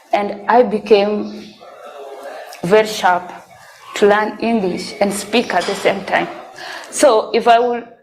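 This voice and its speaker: Speaking at a fairly slow pace, a woman with a fairly high voice uses ordinary pitch variation in a room with audible echo. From South Sudan, raised in refugee camp in Kenya. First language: Dinka. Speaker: sponsored student telling life story. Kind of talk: testimony. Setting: church presentation.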